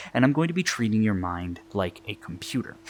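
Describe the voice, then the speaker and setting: A man talks at a very fast pace. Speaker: hypnotist. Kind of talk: hypnosis induction. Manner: lowered tone, quickening tempo; repetitive, filler-heavy.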